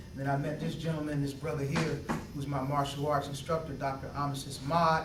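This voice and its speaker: Very fast, monotone and flat male delivery at a fairly high pitch, with audible room echo and noticeable background noise. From Philadelphia, Pennsylvania. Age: 30s. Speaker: doctoral candidate and martial arts student. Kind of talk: interview testimony. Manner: halting, many fillers and repeats.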